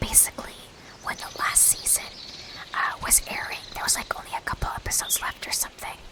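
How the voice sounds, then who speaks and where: Over noticeable background noise, a woman whispers at a fairly quick pace. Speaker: Twitch streamer. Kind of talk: casual live stream talk to chat. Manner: casual, chatty, conversational.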